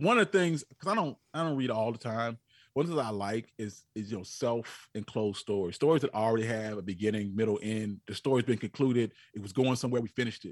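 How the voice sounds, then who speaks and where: With an unremarkable speaking voice, a man talks at a fairly quick pace with lively intonation, the sound dry and close with no echo over a quiet background. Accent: American. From US South, North Carolina. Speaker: history podcaster. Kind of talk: casual interview.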